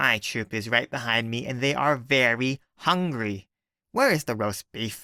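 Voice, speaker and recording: Using a put-on character voice, a man talks at a moderate pace in a raspy, medium-pitched tone. The recording is very clean with a silent background and a dry, close sound with no echo. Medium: read story. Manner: menacing, theatrical.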